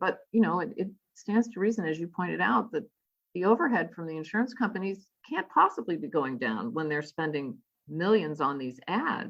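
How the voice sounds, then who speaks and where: A woman speaks at a moderate pace in a fairly low voice, with very wide swings in pitch. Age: 60s. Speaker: physician. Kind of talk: radio interview. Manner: halting, many fillers and restarts.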